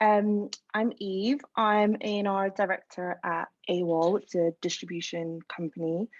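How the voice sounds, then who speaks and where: A woman with an Edinburgh accent at medium pitch, fairly slow in pace, in a dry, close sound with no echo. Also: fairly even intonation, quiet background. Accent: Scottish (Edinburgh). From Scotland, Edinburgh. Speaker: music industry A&R executive. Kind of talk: panel discussion.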